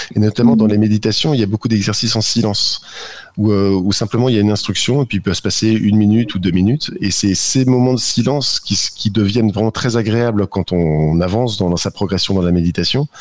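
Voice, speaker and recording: A normal speaking voice with very even loudness. The pace is fairly quick, and the pitch varies in an ordinary way. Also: man, fairly low pitch for a man. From northern France. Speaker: app co-founder. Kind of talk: radio interview.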